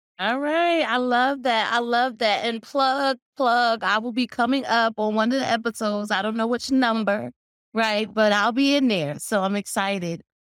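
On a very clean recording with a silent background, a woman with a fairly high pitch and an ordinary speaking voice talks at a moderate pace with ordinary pitch variation and hardly any pauses. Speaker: podcast host. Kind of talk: interview and show intro. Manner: warm, upbeat.

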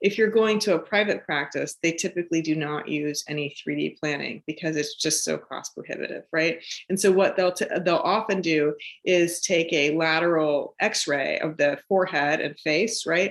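A woman speaks at a moderate pace with an American accent. Her pitch is fairly low, with ordinary variation. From US West Coast, San Francisco East Bay. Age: 40s. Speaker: facial surgeon. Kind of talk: interview, explaining medical topic. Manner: hesitant, many fillers.

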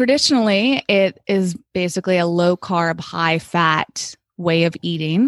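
A woman with a normal speaking voice talks at a fairly slow pace with hardly any pauses, a fairly low pitch, ordinary pitch variation and very even loudness, on a very clean recording with a silent background. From Massachusetts. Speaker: wellness coach and cookbook author. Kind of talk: interview.

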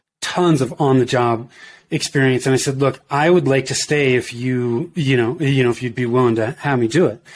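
A man speaks in an ordinary speaking voice with an American accent, at a medium pitch and a moderate pace. His pitch varies in the usual way, and the recording is very clean with a silent background. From US West Coast, Bay Area. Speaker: entrepreneur, marketing business owner. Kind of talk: casual interview.

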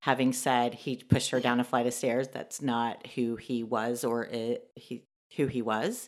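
A woman with a Texan accent, very deep and low in pitch, monotone and flat, at a fairly slow pace on a very clean recording with a silent background. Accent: Texan American. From Texas, Dallas. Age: 40s. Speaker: interviewee sharing life story. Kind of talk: testimony.

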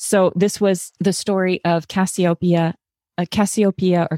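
A woman's dark, mellow tone in a dry, close sound with no echo. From Massachusetts suburbs. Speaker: podcast host. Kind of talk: casual book chat.

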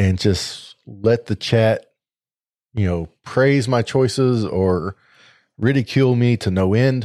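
A man with an American accent speaks with a dark, mellow tone, a fairly low pitch and ordinary pitch variation. The very clean recording has a silent background and a dry, close sound with no echo. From Missouri. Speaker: podcast host. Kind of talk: casual chat. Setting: live stream recording.

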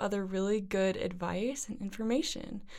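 A normal speaking voice from a woman, fairly high in pitch, at a moderate pace with fairly even intonation. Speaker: podcast host. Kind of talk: casual interview chat.

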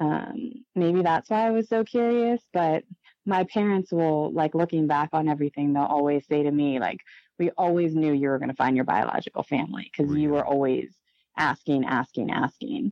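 With an American accent, a woman speaks at a moderate pace in a very deep, low pitch, her intonation lively and her loudness very even. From Maryland, US (adopted from Chile). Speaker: adoptee. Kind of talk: interview. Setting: phone call.

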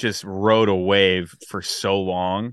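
With an American accent, a man speaks in an unremarkable speaking voice, his fairly low pitch following a fairly even intonation. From US West Coast, San Francisco Bay Area. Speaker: podcast guest, music fan. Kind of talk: casual chat.

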